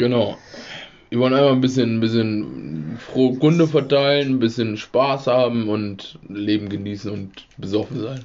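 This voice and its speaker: There is noticeable background noise as a man speaks with a medium pitch. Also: ordinary pitch variation, moderate pace. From rural Germany. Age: 20s. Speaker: podcast host. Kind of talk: casual chat. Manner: laughing.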